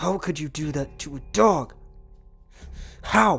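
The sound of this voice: With faint music in the background, a man puts on a character voice at a fairly high pitch, speaking slowly with lively intonation, vocal fry, a slightly husky edge and a fairly bright tone.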